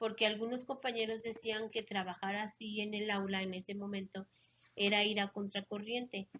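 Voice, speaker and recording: A woman speaks in an unremarkable speaking voice with a fairly high pitch. Her intonation is fairly even. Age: 60s. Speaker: retired schoolteacher. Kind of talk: interview.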